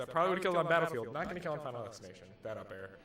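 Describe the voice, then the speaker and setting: A man talks with lively intonation. Noticeable background noise and audible room echo surround his voice. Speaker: Samus player commentating a local tournament match. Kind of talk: live commentary. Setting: tournament venue. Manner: quiet.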